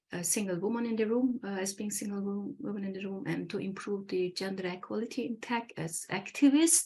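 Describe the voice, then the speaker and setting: Somewhat breathy, a woman speaks at a fairly quick pace with medium pitch and ordinary pitch variation. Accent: Turkish. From Turkey. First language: Turkish. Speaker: engineer and academy founder. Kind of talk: interview. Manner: halting, many fillers.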